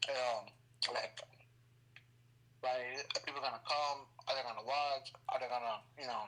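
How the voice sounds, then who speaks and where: Speaking at a moderate pace with long, frequent pauses, a man keeps a medium pitch, a bright, sharp tone and monotone, flat intonation. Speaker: gamer, occasional streamer. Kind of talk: casual chat. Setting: online audio space. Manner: halting.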